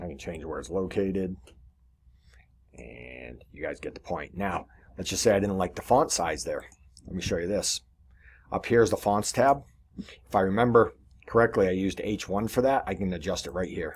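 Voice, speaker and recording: Long, frequent pauses break up this man's very deep, low-pitched voice, which carries vocal fry, lively intonation and big swings in loudness on a very clean recording with a silent background. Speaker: web design tutorial presenter. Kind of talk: screen-share tutorial. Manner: fast; casual with pauses.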